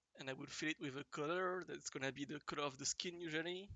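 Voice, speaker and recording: Very fast speech in a strong French accent. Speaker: digital artist. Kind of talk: tutorial. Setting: livestream. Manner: halting, many fillers.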